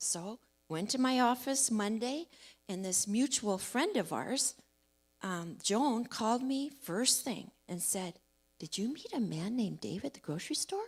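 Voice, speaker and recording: An unremarkable speaking voice from a woman, fairly high in pitch with lively intonation, at a fairly slow pace, on a very clean recording with a silent background. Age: 60s. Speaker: church member sharing testimony. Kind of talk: testimony. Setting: church service. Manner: casual storytelling.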